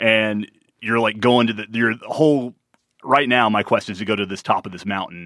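In an unremarkable speaking voice, a man talks at a moderate pace with fairly low pitch, fairly even intonation and big swings in loudness. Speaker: podcast co-host. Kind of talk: casual chat.

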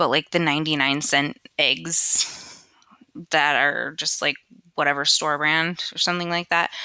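Her tone bright and sharp, a woman speaks at a very slow pace with a very deep, low pitch and a monotone, flat intonation. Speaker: podcast host. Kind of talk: casual monologue. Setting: home, USB headset mic.

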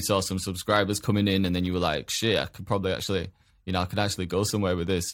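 A man talks very fast in a fairly low voice. The recording is very clean, with a silent background. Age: 20s. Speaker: podcast host. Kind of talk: casual chat interview.

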